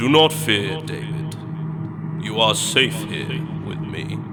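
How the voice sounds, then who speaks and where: With loud background noise behind him, a man talks at a fairly slow pace in a put-on character voice that booms and rumbles. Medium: read story. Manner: grand, faintly mocking.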